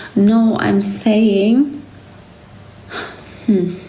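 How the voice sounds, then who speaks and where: A woman with a German accent speaks amid noticeable background noise and audible room echo. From Germany. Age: 20s. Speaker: livestreamer. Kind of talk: casual chat.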